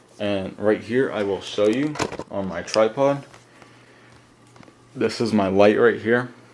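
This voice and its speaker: A man with a fairly low pitch speaks at a fairly slow pace with fairly even intonation, and noticeable background noise can be heard. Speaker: paracord crafting YouTuber. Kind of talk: tutorial. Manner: hesitant, many fillers.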